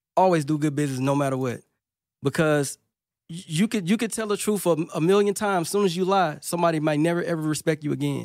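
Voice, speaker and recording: A man with a Louisiana accent speaks very fast in a fairly high pitch with ordinary pitch variation, on a very clean recording with a silent background. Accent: Louisiana Southern US. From Monroe, northern Louisiana. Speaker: music producer. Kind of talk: casual interview chat. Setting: studio.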